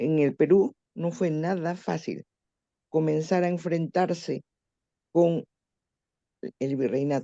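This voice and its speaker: Speaking at a very slow pace with long, frequent pauses, a woman uses a fairly low pitch and ordinary pitch variation, the sound dry and close with no echo. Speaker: panelist, history enthusiast. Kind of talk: short speech at panel.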